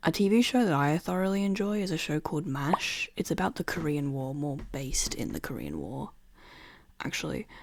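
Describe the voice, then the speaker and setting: With an Australian accent, a woman speaks at a very deep, low pitch. Her intonation is lively and her pace fairly quick. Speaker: podcaster. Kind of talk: casual monologue. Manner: casual, rambling asides.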